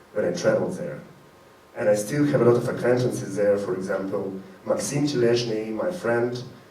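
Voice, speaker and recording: In a recording with audible room echo and noticeable background noise, a man speaks at a medium pitch with ordinary pitch variation. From Ukraine, Crimea. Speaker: performance artist. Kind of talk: live event speech to audience. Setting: stage with audience.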